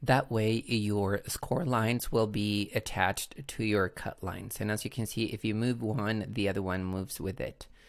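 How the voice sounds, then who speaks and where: A man with a Chilean Spanish accent, fairly low in pitch, at a moderate pace with hardly any pauses and fairly even intonation. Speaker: crafting tutorial creator. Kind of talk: tutorial. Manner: hesitant, with frequent fillers.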